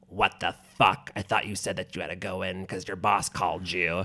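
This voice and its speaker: In a put-on character voice, the speaker goes at a fairly quick pace with monotone, flat intonation. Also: man, very deep, low pitch for a man. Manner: scary, furious.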